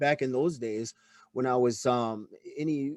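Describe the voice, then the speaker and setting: A man at a medium pitch with fairly even intonation and an ordinary speaking voice. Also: dry, close sound with no echo. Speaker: podcast host, former extremist. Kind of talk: interview conversation.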